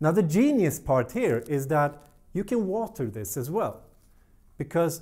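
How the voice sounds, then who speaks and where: In a Swedish accent, a man with a fairly high pitch and a dark, mellow tone speaks at a fairly slow pace with very wide pitch swings against a quiet background. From Sweden. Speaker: plant care youtuber. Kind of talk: tutorial. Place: studio. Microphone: lapel.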